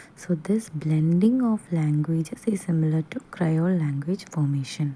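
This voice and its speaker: Speaking very slowly with a Keralan accent, a woman keeps to a fairly low pitch. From Kerala, India. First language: Malayalam. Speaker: teacher. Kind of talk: lecture. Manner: halting.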